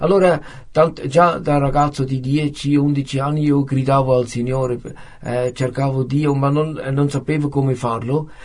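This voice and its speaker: A man's fairly high, somewhat breathy voice with a Swiss German accent, monotone and flat, at a fairly slow pace. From German-speaking Switzerland, near Zurich. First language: Swiss German (speaking Italian). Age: 50s. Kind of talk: testimony. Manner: halting, many hesitations.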